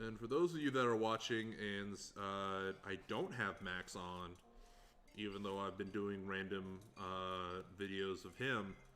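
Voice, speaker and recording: Music plays behind a man who speaks at a fairly slow pace with a fairly low pitch and fairly even intonation. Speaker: livestreamer building a hurdy gurdy. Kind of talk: casual livestream commentary while crafting. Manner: relaxed, with many filler words.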